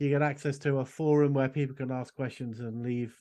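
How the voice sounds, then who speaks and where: Speaking with an English accent, a man uses a dark, mellow tone at a medium pitch and moderate pace, his intonation fairly even against a quiet background. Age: 60s. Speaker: esoteric school director and magic teacher. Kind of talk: casual interview chat.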